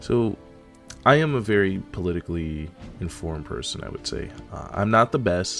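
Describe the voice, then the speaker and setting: A man talks at a moderate pace with lively intonation. Music plays in the background. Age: young. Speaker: anime and gaming content creator. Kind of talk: casual political rant to camera.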